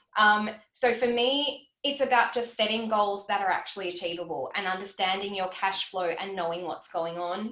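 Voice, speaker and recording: Noticeable background noise sits behind a woman with an Australian accent who speaks at a medium pitch with ordinary pitch variation. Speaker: financial educator. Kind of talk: livestream Q&A. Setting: livestream. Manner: fast; animated.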